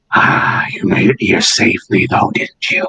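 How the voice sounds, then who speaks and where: Raspy put-on character voice from a man, fairly high-pitched, at a moderate pace. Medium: actual play. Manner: cryptic, manipulative.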